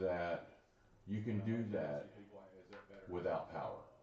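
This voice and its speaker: A man's fairly low, lively voice amid noticeable background noise and audible room echo. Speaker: show host. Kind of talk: casual chat.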